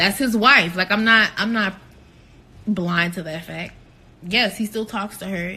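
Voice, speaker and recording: A woman with a bright, sharp tone talks at a fairly slow pace, with long, frequent pauses. Her loudness swings widely while her pitch varies in an ordinary way. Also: medium pitch for a woman. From New Orleans area, Louisiana. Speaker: reality TV cast member. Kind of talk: Q&A vlog answering viewer questions. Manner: casual, filler-heavy with frequent 'like'.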